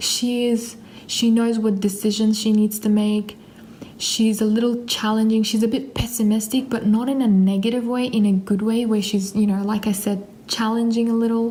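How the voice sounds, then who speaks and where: A woman at a fairly high pitch with monotone, flat intonation and very even loudness, amid audible room echo and noticeable background noise. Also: moderate pace. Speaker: perfume reviewer. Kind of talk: casual video review.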